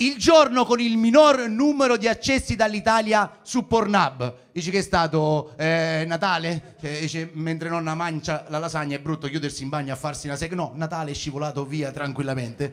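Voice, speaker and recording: A man has an unremarkable speaking voice. He talks with lively intonation. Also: fairly high pitch for a man, moderate pace, hardly any pauses. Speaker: stand-up comedian. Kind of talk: stand-up comedy set, raunchy satire. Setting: stage with live audience. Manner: chatty, crowd-baiting, with pauses for laughs.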